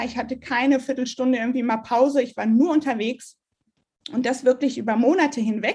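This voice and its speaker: Over a quiet background, a woman talks in a high pitch. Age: 20s. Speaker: virtual assistant in online marketing. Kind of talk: interview about her cancer story.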